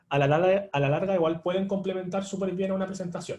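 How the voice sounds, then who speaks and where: The tone of this man's voice is dark and mellow. His pitch variation is ordinary. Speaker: online tutor. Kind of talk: live online lecture. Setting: livestream. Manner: fast; filler-heavy, with hesitations.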